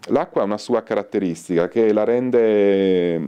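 A man speaks at a fairly low pitch in a dark, mellow tone. The background is quiet. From northern Italy, Turin; northern Italy. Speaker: soap maker and botanist; interviewee. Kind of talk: interview. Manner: halting. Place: shop. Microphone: handheld.

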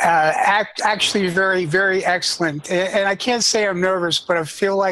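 Noticeable background noise sits behind a man speaking at a high pitch. His intonation is monotone and flat. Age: 60s. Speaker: caller to a livestream show, shop worker. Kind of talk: casual chat. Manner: halting; effusive.

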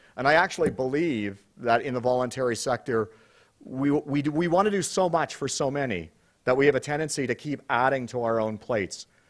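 The surroundings are quiet. A man talks at a fairly quick pace. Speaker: conference host. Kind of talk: opening remarks to conference audience. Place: hall. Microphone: podium.

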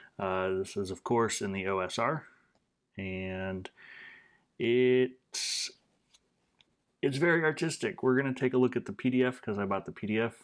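In a quiet background, a man speaks at a fairly slow pace with lively intonation and long, frequent pauses. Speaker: tabletop game reviewer. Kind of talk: casual review chat. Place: home room.

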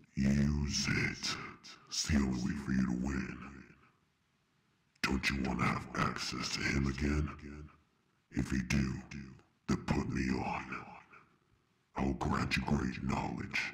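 A man does a put-on character voice with a very deep, low pitch and monotone, flat intonation. He goes at a fairly slow pace with long, frequent pauses. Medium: comedy sketch. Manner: menacing, persuasive.

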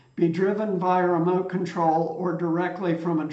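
Audible room echo surrounds a man with a high pitch who talks at a moderate pace. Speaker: tech news host. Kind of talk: commentary. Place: home room.

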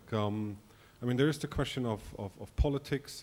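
With a plain, everyday voice, this man keeps to a medium pitch and a moderate speed. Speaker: event moderator. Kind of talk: moderated Q&A.

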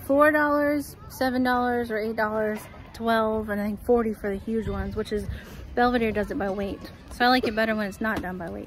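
The sound is dry with no echo as a woman speaks. Crowd noise carries in the background. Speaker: family vlogger. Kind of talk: casual vlog chat. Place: open country. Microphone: phone near.

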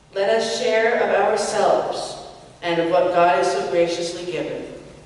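A woman's medium-pitched voice at a fairly slow pace, with ordinary pitch variation and strong room echo

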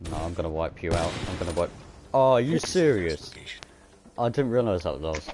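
A man with a very deep, low pitch talks at a fairly quick pace with lively intonation. He takes long, frequent pauses over noticeable background noise. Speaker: gaming YouTuber. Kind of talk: casual gameplay livestream chat. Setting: online voice chat while streaming. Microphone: headset.

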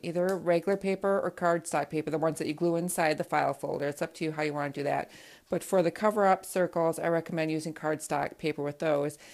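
A woman with a fairly low pitch speaks very fast, her intonation fairly even and her speech with hardly any pauses. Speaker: childcare educator. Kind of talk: tutorial. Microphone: phone near.

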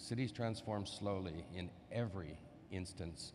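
Fairly slow delivery from a man with fairly even intonation, over noticeable background noise. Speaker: session co-chair and moderator; moderator. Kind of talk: conference panel moderation. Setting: conference room with audience. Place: hall. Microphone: podium.

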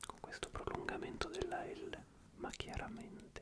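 At a fairly slow pace, a man talks through loud background noise. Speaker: ASMR creator. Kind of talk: soft-spoken ASMR chat. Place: home room. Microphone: studio mic.

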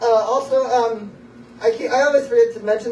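Audible room echo and light background noise accompany speech at a fairly quick pace. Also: man. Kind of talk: rambling stage banter introducing a song. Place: stage. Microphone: camera far.

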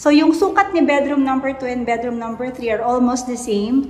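A woman speaks at a moderate pace with a fairly high pitch and ordinary pitch variation. Her tone is slightly mellow, and some room echo is audible.

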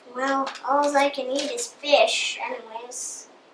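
Here is a cartoonish character voice that sounds female. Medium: puppet show. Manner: rambling, gloomy.

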